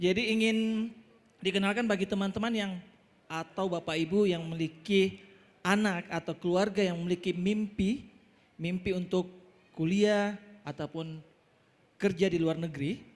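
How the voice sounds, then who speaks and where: Speaking at a high pitch with fairly even intonation, a man leaves long, frequent pauses. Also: moderate pace. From Makassar, South Sulawesi, Indonesia. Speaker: language school owner, business presenter. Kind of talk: business presentation. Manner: halting, with fillers.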